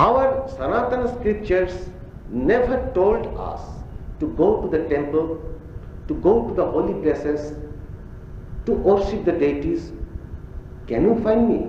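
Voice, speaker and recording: A man with a Bengali accent talks at a fairly slow pace in a high voice, his pitch swinging very widely, with long, frequent pauses, audible room echo and noticeable background noise. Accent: Bengali-accented Indian English. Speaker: spiritual teacher. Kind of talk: religious discourse to audience. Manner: halting.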